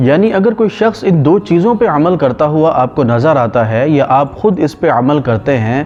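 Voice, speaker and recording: A man's fairly high voice with very wide pitch swings, music in the background. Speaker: Islamic scholar giving a lecture. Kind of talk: religious sermon / lecture.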